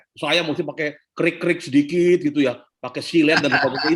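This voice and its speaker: A fairly quick pace from a man. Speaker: leadership speaker. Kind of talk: Q&A talk on leadership. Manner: animated, conversational.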